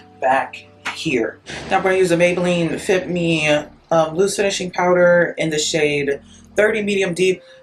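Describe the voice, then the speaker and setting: Over noticeable background noise, a woman with a very deep, low pitch speaks at a moderate pace with fairly even intonation. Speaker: beauty vlogger and actress. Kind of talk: casual chat while doing makeup. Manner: rambling, filler-heavy casual speech.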